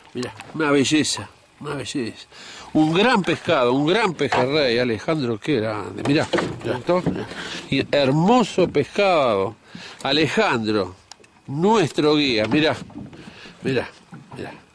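A man's fairly high voice at a very slow pace, with very wide pitch swings, long, frequent pauses, a dry sound with no echo and noticeable background noise. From Argentina. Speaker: fishing show host. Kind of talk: casual fishing vlog narration. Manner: animated. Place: boat. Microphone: phone near.

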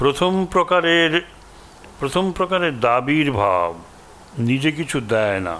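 The pitch swings very widely over light background noise. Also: man. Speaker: monk giving endowment lecture. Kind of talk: lecture. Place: hall. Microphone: podium.

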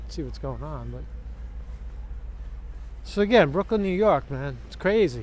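At a moderate pace, a man talks in a dry sound with no echo over light background noise. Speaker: vlogger. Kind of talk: casual vlog chat. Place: street. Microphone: phone near.

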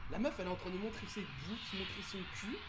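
Through loud background noise, a man talks at a fairly quick pace. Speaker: gaming streamer. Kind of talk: casual gaming chat. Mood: relaxed, joking. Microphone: studio mic.

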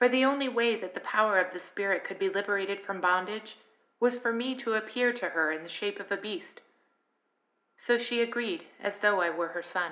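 A woman with an unremarkable speaking voice, medium in pitch, at a fairly quick pace with ordinary pitch variation. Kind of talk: audiobook reading of scripture.

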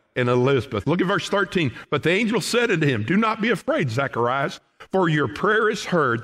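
A man talks with a Southern US accent over a quiet background. His pitch swings very widely. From Oklahoma. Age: 60s. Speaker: pastor. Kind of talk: sermon. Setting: church. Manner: folksy. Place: church.

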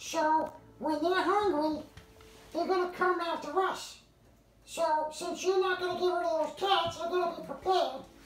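A put-on character voice speaks at a moderate pace. A slight echo can be heard. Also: female-sounding voice, extremely high pitch for a woman. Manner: conspiratorial, rambling, comic.

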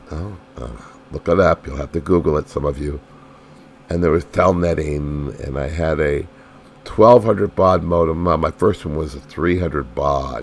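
Over noticeable background noise, a man speaks at a fairly slow pace with a very deep, low pitch. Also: ordinary pitch variation. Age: old. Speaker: YouTuber with a chronic illness. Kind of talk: casual monologue vlog. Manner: halting, many fillers.

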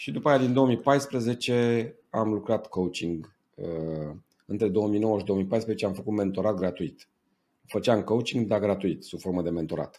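A fairly slow, fairly low male voice, dark and mellow in tone, with ordinary pitch variation. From Romania. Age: 40s. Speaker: business coach. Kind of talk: interview. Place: home room. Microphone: earbuds.

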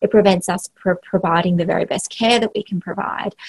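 Behind the voice, the background stays quiet. The speaker is a woman with an Australian accent. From Western Australia, small country town. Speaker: health organisation CEO. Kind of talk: interview. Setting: remote call from office. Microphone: video call.

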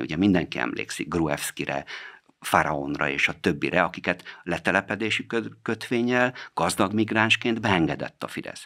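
Against a quiet background, a man speaks at a moderate pace with a very deep, low pitch and vocal fry. His tone is bright and sharp, and his pitch swings very widely. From Hungary. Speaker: politician, member of parliament; politician. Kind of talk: radio interview answering listener questions. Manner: formal. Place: studio. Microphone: studio mic.

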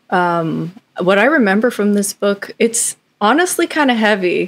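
A woman talks at a fairly slow pace. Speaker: guest. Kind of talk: casual discussion answer. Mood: thoughtful, calm. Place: home room.

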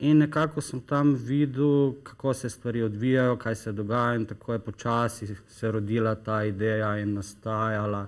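In a quiet background, a man talks in a plain, everyday voice at medium pitch with fairly even intonation. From Slovenia, Styria and coast (Maribor, Piran); Slovenia. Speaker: company founder promoting health products; guest. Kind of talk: TV talk show interview. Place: studio. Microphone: lapel.

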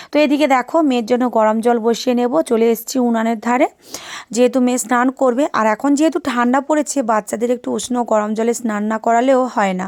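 A woman speaks at high pitch with fairly even intonation. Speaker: vlogger. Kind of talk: casual vlog narration.

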